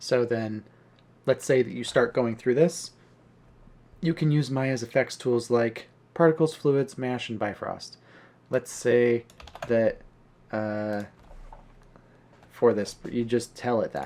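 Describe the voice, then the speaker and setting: Very slowly and with long, frequent pauses, a man speaks at a medium pitch. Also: ordinary pitch variation. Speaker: 3D artist. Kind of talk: casual tutorial talk to camera. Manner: casual, hesitant with fillers.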